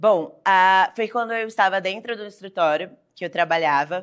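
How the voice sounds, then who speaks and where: Here is an unremarkable speaking voice from a woman, medium in pitch with ordinary pitch variation. She talks at a moderate pace in a very clean recording with a silent background. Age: 20s. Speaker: lawyer. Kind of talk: interview. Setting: studio.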